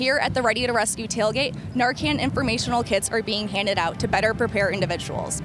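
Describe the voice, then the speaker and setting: With music in the background, a woman talks at a very fast pace and fairly high pitch, with ordinary pitch variation and hardly any pauses. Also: very even loudness. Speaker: sports reporter and news anchor. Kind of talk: news and sports anchor read.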